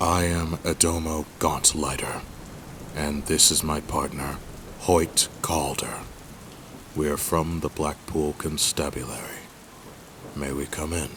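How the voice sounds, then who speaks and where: A gruff, put-on character voice moves at a fairly slow pace with long, frequent pauses. Clear background noise runs underneath. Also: man, very deep, low pitch for a man. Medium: audio drama. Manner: gruff, authoritative.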